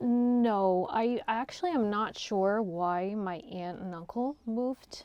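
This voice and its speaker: Speaking very slowly with hardly any pauses, a woman with a Canadian accent uses a fairly high pitch and ordinary pitch variation. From Windsor, Ontario, Canada (from age 8; born in Serbia). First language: Slovak. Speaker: real estate agent. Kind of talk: interview conversation. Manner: hesitant, many fillers.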